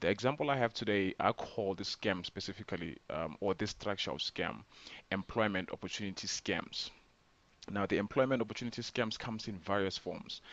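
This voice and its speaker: Speaking fairly quickly, a man with a fairly low pitch shows ordinary pitch variation. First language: not English. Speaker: scam awareness vlogger. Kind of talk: informal explainer video. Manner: hesitant, many fillers.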